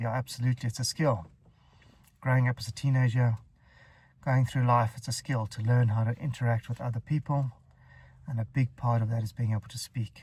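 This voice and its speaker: In a very clean recording with a silent background, a man talks at a fairly quick pace with long, frequent pauses, his medium-pitched voice somewhat breathy and his intonation fairly even. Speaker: stuttering coach. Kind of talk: casual advice vlog. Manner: stutters; halting, with fillers.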